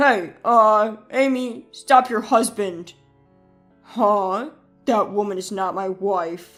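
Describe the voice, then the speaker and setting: Using a put-on character voice, a woman speaks at a very slow pace with a medium pitch and ordinary pitch variation as faint music plays in the background. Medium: read story. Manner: whiny, defensive.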